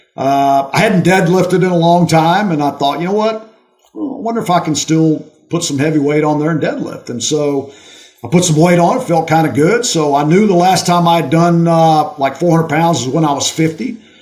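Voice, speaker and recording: A man's high-pitched voice at a fairly quick pace, ordinary pitch variation, and noticeable background noise. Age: 60s. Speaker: retired college football coach. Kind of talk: casual interview chat. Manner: animated.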